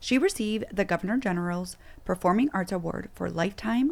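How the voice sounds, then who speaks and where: Talking at a fairly quick pace, a woman has an unremarkable speaking voice. Her pitch is medium, with ordinary pitch variation. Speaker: podcast host. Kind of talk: guest introduction read.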